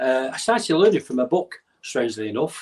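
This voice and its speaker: This man has a Mancunian accent and a fairly high pitch. He talks at a fairly quick pace with very wide pitch swings. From northern England, North Manchester. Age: 60s. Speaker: bodyguard and karate champion. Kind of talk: podcast interview.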